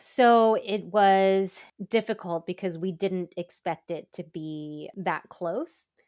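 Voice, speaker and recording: On a very clean recording with a silent background, a woman with an American accent speaks very slowly at a medium pitch with ordinary pitch variation. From Southern California, suburbs of Los Angeles. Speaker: content creator and former TV news reporter. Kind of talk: casual interview chat.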